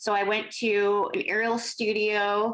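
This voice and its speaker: A woman is speaking. She has a Californian accent. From Los Angeles, San Fernando Valley. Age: 40s. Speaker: contortionist and aerialist. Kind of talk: interview conversation.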